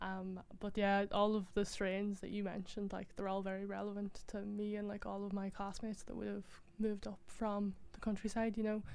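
A woman with a Donegal accent talks at a fairly quick pace in a monotone, flat delivery at medium pitch, with audible room echo. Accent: Donegal Irish. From Ireland, Donegal. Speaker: university graduate. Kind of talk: audience comment. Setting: stage with audience.

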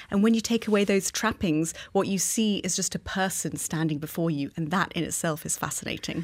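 A woman with a plain, everyday voice talks at a fairly quick pace with hardly any pauses, her fairly low pitch showing ordinary variation. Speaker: museum curator. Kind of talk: interview.

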